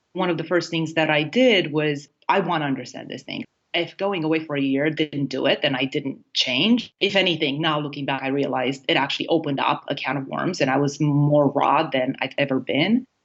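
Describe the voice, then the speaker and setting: A woman speaks at a fairly quick pace with a Romanian accent, her pitch very deep and low. Her pitch varies in an ordinary way, and she hardly pauses at all. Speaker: happiness coach. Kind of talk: interview.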